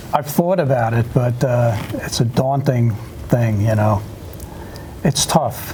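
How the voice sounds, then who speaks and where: A man talks very slowly at a medium pitch, with ordinary pitch variation and very even loudness. Long, frequent pauses break up his speech over noticeable background noise. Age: 70s. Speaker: veterans association officer. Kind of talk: TV interview. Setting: studio.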